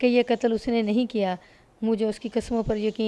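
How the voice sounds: Here the speaker uses a natural reading voice.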